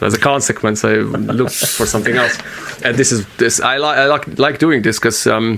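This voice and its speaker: Over noticeable background noise, a man with a medium-pitched voice talks fairly quickly at a very even loudness, with ordinary pitch variation. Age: 30s. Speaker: podcast host. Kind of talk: casual chat. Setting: home studio in bedroom. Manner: halting.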